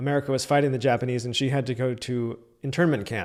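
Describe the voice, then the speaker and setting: On a very clean recording with a silent background, a man uses a normal speaking voice at a fairly high pitch, fairly quick pace and fairly even intonation. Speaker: podcast host. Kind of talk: podcast intro.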